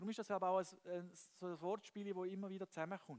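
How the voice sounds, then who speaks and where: A high-pitched man with a Swiss German accent, in a dry, close sound with no echo. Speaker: preacher. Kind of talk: church sermon.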